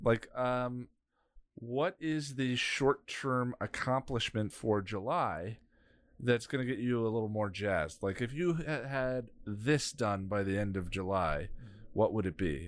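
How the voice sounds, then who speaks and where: Over a silent background in a very clean recording, a man with an unremarkable speaking voice and medium pitch speaks at a fairly slow pace with lively intonation. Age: 40s. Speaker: podcast co-host. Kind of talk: casual chat.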